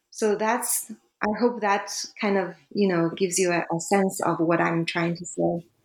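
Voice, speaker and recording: A woman with a Chinese accent at a fairly slow pace, with fairly even intonation and very even loudness. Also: medium pitch for a woman. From China. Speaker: academic author. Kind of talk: interview. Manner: hesitant, many fillers.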